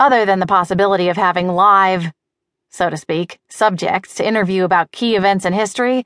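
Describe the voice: Against a quiet background, this is plain reading aloud with fairly even intonation.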